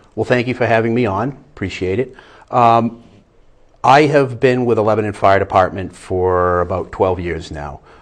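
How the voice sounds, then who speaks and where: A man with a slight Boston accent speaks at a fairly low pitch. His pace is moderate, and the background is quiet. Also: ordinary pitch variation. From Boston area, US. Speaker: fire inspector. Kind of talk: interview.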